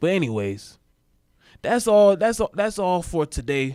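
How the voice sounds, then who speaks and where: A moderately paced male voice on a very clean recording, background silent. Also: dry, close sound with no echo. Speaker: podcast host. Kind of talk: solo podcast commentary. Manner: halting, stumbling over words.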